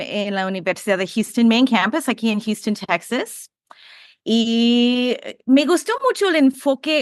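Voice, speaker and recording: With an English accent, a woman speaks at a high pitch in a dry, close sound with no echo against a quiet background. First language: English (speaking Spanish). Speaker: behavior analysis professor. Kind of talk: podcast interview. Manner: halting.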